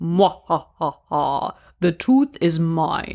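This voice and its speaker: Someone in a put-on character voice talks at a middle pitch and a very slow pace. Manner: maniacal, gleeful.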